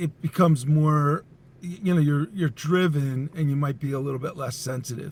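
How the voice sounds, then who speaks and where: Somewhat breathy and fairly high in pitch, a man speaks at a moderate pace with fairly even intonation. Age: 60s. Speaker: entrepreneur and company CEO. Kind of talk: podcast interview.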